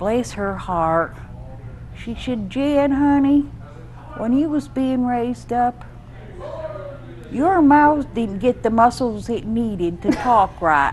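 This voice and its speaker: A woman with an American accent, fairly high-pitched and very slow, with lively intonation, long, frequent pauses and noticeable background noise. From upstate New York. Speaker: storyteller. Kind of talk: interview. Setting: live show.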